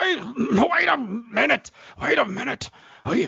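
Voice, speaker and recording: A man puts on a raspy character voice, pitched extremely high, speaking at a fairly slow pace with very wide swings in pitch. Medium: audio drama. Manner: hesitant, stammering.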